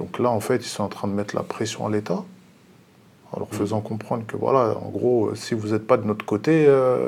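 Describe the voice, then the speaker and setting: A man with a medium pitch talks at a moderate pace, pausing often and at length, his pitch varying in an ordinary way. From Paris region. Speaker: bus driver. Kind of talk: TV panel discussion.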